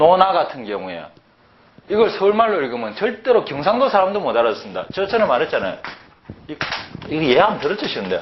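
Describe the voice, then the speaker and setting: A man's very fast speech in a Gyeongsang accent, broken by long, frequent pauses, with audible room echo and noticeable background noise. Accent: Gyeongsang dialect speaker. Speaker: Chinese and Hanja language teacher. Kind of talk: lecture. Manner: animated, conversational with rhetorical questions.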